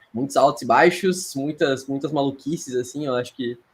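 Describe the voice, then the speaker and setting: A man speaks at a moderate pace. His pitch is fairly high, with ordinary variation. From Rio Grande do Sul, Brazil. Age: 30s. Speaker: sports psychologist. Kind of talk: podcast interview. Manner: hesitant, many fillers and repetitions.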